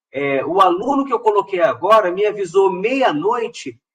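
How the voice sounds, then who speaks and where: A high-pitched male voice, its pitch varying in an ordinary way. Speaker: professor giving a funding-call workshop. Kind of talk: online tutorial / workshop presentation. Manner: not fast, measured.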